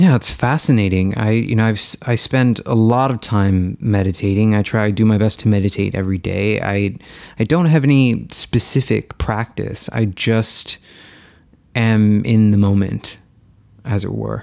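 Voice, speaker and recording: At a moderate pace, a man with a normal speaking voice and a fairly low pitch shows ordinary pitch variation on a very clean recording with a silent background. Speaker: podcast host. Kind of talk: podcast interview.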